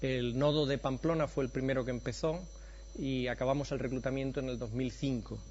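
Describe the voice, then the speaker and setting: The speaker has an Andalusian accent, and audible room echo surrounds the voice. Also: man. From Andalusia, Spain. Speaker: professor of preventive medicine. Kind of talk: conference lecture.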